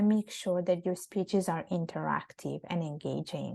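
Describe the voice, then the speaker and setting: Soft-spoken, a woman talks in a dark, mellow tone. Her pace is moderate. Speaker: public speaking coach, women's platform founder. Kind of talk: interview. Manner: halting, with many fillers and restarts.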